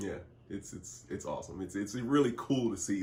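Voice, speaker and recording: The voice is somewhat breathy, moving at a moderate pace with lively intonation. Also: man. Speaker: public address announcer and in-arena host. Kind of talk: interview answer, casual conversation.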